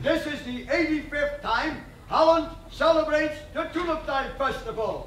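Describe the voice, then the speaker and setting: An extremely high-pitched man's voice, fairly slow and fairly even in intonation, with noticeable background noise. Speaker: town crier. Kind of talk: town crier proclamation / cry to the public.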